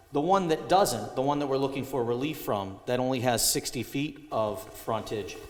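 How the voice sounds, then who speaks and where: A man talks with lively intonation at a fairly high pitch. Audible room echo and noticeable background noise are present. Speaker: applicant's representative at zoning hearing. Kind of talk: presentation at public hearing. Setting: town hall meeting. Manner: loud.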